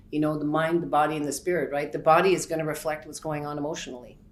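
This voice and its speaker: Very deep, low female voice, with audible echo from the room. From Montreal. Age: 50s. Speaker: massage therapist. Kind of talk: interview. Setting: hotel room.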